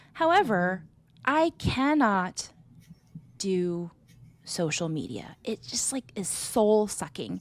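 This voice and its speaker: A woman with an American accent speaks at a very slow pace with long, frequent pauses, her medium pitch swinging very widely, on a very clean recording with a silent background. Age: 30s. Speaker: business operations consultant. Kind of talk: podcast interview. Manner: casual, conversational.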